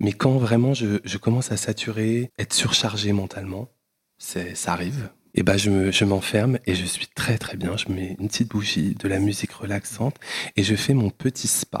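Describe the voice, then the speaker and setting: The sound is dry and close with no echo as a man talks at a moderate pace. His voice is somewhat breathy and fairly low in pitch, with fairly even intonation. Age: 30s. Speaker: entrepreneur. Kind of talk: casual chat.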